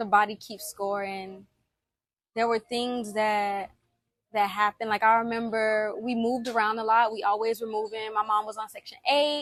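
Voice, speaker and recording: Speaking at a moderate pace, a woman uses a fairly high pitch and fairly even intonation, with big swings in loudness. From US South, Alabama then Miami. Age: 20s. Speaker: personal vlogger. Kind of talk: personal testimony. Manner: conversational with fillers.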